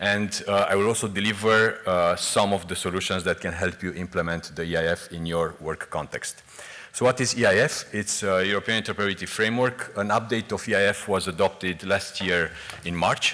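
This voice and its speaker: Fairly low in pitch, a man speaks at a fairly quick pace with fairly even intonation over noticeable background noise. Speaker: EU official presenting on interoperability. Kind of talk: conference presentation. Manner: fast.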